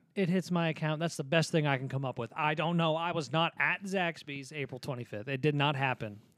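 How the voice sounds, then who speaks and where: Hardly any pauses break up this fairly quick delivery from a man with an ordinary speaking voice, a fairly high pitch and ordinary pitch variation, recorded very cleanly over a silent background. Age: 20s. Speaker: podcast co-host and guitar teacher. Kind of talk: casual chat. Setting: home studio.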